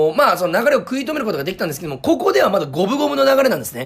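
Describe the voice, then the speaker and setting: Energetic in tone, a man's voice makes very wide pitch swings. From Fukuoka, Japan. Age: 20s. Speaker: comedian and radio host. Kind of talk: sports radio recap. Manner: frequent filler hesitations.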